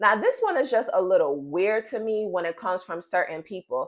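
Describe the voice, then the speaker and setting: A woman talks at a moderate pace in a fairly high pitch. Her pitch swings very widely. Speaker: vlogger. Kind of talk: casual monologue vlog. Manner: animated.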